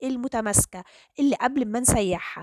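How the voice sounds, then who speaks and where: On a very clean recording with a silent background, a woman speaks high in pitch. The sound is dry and close with no echo, and her pitch variation is ordinary. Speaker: cooking channel host. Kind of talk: cooking tutorial.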